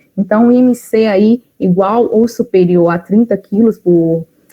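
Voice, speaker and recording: A woman speaks with a Minas Gerais accent. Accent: mineiro Brazilian Portuguese. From Brazil, Minas Gerais. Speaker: nutritionist. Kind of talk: casual talk; lecture.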